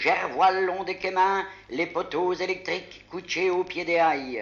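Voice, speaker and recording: A man with a Picardy accent and a high pitch, speaking at a fairly slow pace amid noticeable background noise. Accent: Picard dialect. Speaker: dialect poet. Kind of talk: poetry reading.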